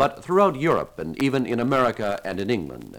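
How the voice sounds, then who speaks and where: Vocal fry from a man at medium pitch, with very wide pitch swings and a fairly quick pace. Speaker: radio announcer. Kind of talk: 1955 radio announcer: scripted, polished broadcast patter introducing jazz tracks. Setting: studio. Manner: formal, brisk and genial, mid-century broadcast delivery with light wit.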